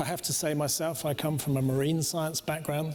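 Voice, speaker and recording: This man has a British accent and a fairly high pitch. His delivery is moderately paced, with monotone, flat intonation. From Britain and Denmark. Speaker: cruise company executive. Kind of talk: panel discussion.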